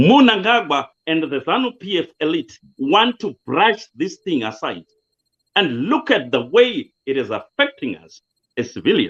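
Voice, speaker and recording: A man with a Zimbabwean accent, high pitch and very wide pitch swings, at a fairly slow pace with big swings in loudness. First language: Shona. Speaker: political commentator. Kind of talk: interview.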